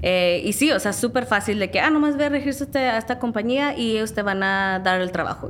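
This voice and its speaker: Talking at a moderate pace, a woman uses lively intonation while noticeable noise runs behind her. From Southern California, San Diego area. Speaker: background actress. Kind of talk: interview.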